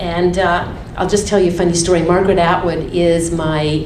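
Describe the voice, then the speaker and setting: The speaker has a Canadian accent and keeps a moderate pace. Noticeable background noise and audible room echo fill the recording. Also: woman. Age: 60s. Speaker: catering company founder and cookbook author. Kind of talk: talk to an audience. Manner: animated.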